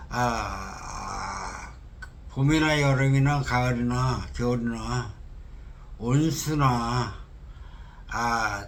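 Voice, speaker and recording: A man at medium pitch talks at a very slow pace with long, frequent pauses and fairly even intonation. Audible room echo and noticeable background noise surround him. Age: 60s. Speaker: candidate for cooperative head. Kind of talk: interview. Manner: halting.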